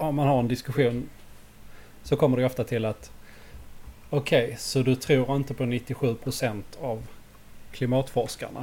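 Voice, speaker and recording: A man at medium pitch with a dark, mellow tone and vocal fry, monotone and flat in intonation, at a fairly slow pace with long, frequent pauses. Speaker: podcast co-host. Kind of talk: casual chat.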